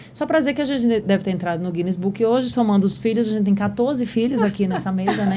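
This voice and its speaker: Noticeable background noise sits behind a woman with a medium pitch. She talks at a very fast pace with lively intonation. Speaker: podcast host. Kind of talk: casual chat.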